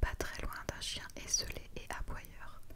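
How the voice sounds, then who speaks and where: Whispering in a calm tone at a very slow pace, the speaker is heard over noticeable background noise. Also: woman. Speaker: ASMR content creator. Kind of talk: whispered book reading (ASMR). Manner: whispered, soft, calm.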